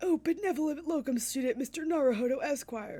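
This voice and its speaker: A put-on character voice moves along at a fairly quick pace. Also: woman, high pitch for a woman. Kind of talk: pompous, overly formal.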